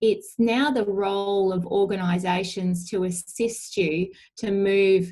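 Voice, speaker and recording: A woman with an Australian accent speaks at a medium pitch in a dark, mellow tone. Her pace is very slow and her intonation fairly even. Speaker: allied health professional presenting a webinar. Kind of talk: webinar presentation. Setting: webinar.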